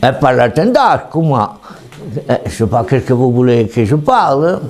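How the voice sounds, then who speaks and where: A man with a Ligurian accent speaks at a fairly slow pace and medium pitch, his loudness very even and his pitch variation ordinary, with noticeable background noise behind him. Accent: Ligurian dialect of Tende. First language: Tende Ligurian dialect (speaking French). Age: 70s. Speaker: retired goat and sheep herder. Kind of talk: dialect interview. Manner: halting.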